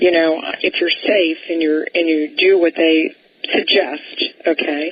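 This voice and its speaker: With noticeable background noise behind her, a woman speaks fairly slowly at a fairly low pitch, her intonation flat and monotone and her loudness very even. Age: 70s. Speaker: radio talk show host. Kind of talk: radio interview.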